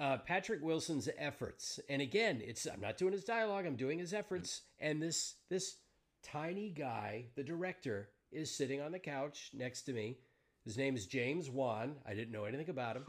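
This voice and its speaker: Lively in intonation, a man speaks at a moderate pace with a fairly high pitch. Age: 50s. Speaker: podcast host and voice actor. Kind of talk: casual interview chat. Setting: home booth, video stream.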